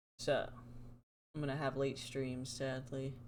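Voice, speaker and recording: Someone speaks at a fairly slow pace amid audible room echo. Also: woman. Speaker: streamer. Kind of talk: casual live stream chat. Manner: animated.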